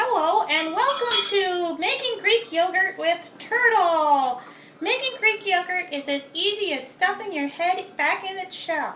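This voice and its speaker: An extremely high-pitched, cartoonish character voice moves at a fairly slow pace over clear background noise. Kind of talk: cooking tutorial. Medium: puppet. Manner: chatty, casual.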